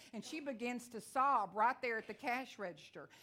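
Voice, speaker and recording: In a Texan accent, a woman talks at a fairly quick pace with ordinary pitch variation. Her tone is bright and sharp. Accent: Texan twang. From Texas. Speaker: visiting evangelist preacher. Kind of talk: sermon. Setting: church with congregation. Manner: fast talker.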